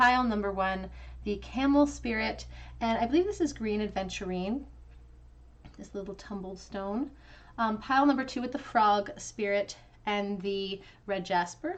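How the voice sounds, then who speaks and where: At medium pitch with ordinary pitch variation, a woman talks at a moderate pace, leaving long, frequent pauses. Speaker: tarot reader. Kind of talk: tarot reading.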